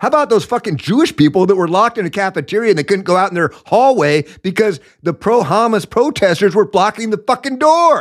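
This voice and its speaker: In a very clean recording with a silent background, a man with an American accent speaks in a high pitch, swinging very widely in pitch with hardly any pauses. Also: fairly quick pace. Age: 50s. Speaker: political commentary podcast host. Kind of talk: opinionated political monologue. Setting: studio microphone. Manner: animated.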